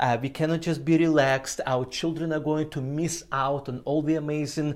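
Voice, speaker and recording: A man with a non-native accent talks at a fairly quick pace, his fairly high voice held to a flat, monotone intonation. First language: not English. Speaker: ministry trainer. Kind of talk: training presentation. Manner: frequent filler uh.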